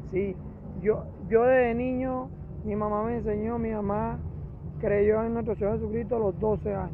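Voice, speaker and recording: With a Venezuelan accent, a man speaks at a moderate pace with long, frequent pauses, and the room echo is audible. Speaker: churchgoer approached in street. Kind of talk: casual chat.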